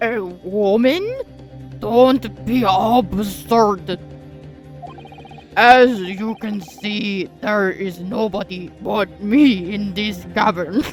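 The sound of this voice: A female-sounding voice performs a put-on character voice at a fairly high pitch and a very slow pace. Clear music plays in the background.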